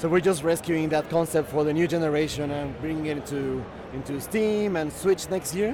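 A man's voice moves at a moderate speed, its pitch varying in an ordinary way, while noticeable background noise plays behind it. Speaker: indie game developer. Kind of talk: interview. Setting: convention show floor.

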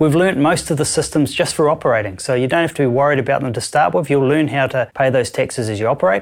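With a New Zealand accent, a man speaks at a very fast pace and a fairly high pitch, with ordinary pitch variation. The recording is very clean and the background silent. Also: hardly any pauses. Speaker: audit company director. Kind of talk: interview answers.

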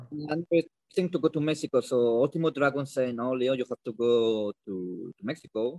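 This man speaks with a Spanish accent. His pace is fairly quick, and his pitch varies in an ordinary way. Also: dry, close sound with no echo. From Bilbao, Spain. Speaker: pro wrestler. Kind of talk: casual interview. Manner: halting, non-fluent English.

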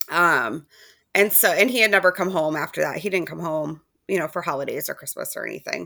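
In a very clean recording with a silent background, a woman with vocal fry talks at a fairly quick pace, her fairly low pitch varying in an ordinary way. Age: 30s. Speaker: guest sharing lived experience of sibling loss. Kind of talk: casual conversation.

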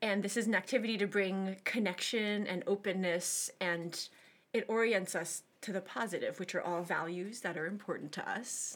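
A woman with a plain, everyday voice speaks at a medium pitch with ordinary pitch variation. The recording is very clean with a silent background. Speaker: podcast co-host and classical musician. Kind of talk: casual conversational interview. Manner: warm, laughs often.

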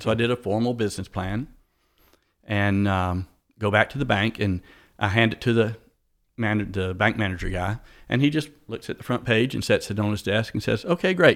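Fairly quick speech comes through in a very clean recording against a silent background. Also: man. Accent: Southern US. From US South, south Atlanta, Georgia. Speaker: motorcycle shop owner, former physician assistant. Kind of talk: interview.

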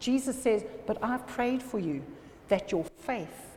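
The speaker uses lively intonation at a fairly slow pace. Audible room echo is present. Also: woman. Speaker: pastor. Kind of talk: sermon.

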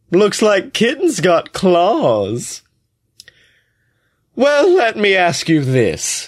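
Using a put-on character voice, a man speaks breathy and high-pitched at a very slow pace. His loudness stays very even amid long, frequent pauses. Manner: mocking, taunting.

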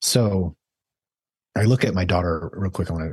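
A man with a very deep, low pitch and an American accent, somewhat breathy, at a moderate pace with ordinary pitch variation. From Idaho, US. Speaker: physician. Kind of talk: interview.

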